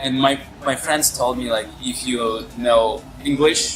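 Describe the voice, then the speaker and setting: A man talks at a very slow pace while music plays behind him. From Russia, Urals (Asbest near Yekaterinburg). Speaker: English teacher and actor. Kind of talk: casual interview. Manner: halting.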